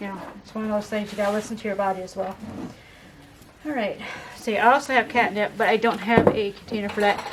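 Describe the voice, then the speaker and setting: A woman talks over noticeable background noise. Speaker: herbal remedies class teacher. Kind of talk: hands-on class instruction.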